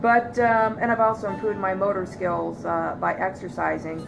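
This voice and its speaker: A woman with an American accent speaks at a moderate pace, with music in the background and audible room echo. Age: 40s. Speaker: vlogger. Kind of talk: personal testimony. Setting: living room loveseat. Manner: hesitant, many fillers.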